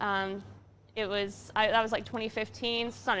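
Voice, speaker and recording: The delivery is fairly quick and the intonation monotone and flat. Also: woman. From Canada. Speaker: brewery staff, show host. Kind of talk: casual chat. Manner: hesitant, many fillers.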